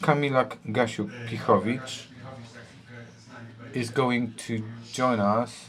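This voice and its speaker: Noticeable background noise sits under a man's medium-pitched voice. He talks at a very slow pace with long, frequent pauses. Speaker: panel moderator. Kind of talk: panel discussion introduction.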